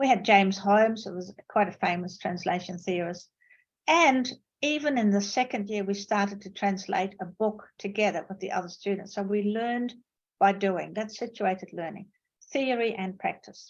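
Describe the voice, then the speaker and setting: A woman talks at a moderate pace in a somewhat breathy, medium-pitched voice with ordinary pitch variation. Her loudness swings widely, and the background is quiet. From Netherlands. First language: Dutch. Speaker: professor. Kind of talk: lecture. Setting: video call.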